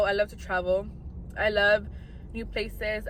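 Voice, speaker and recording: A woman is talking at a moderate speed. Behind her, music is playing. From US West, Inland Empire, California. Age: 20s. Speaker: content creator. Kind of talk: casual vlog talk.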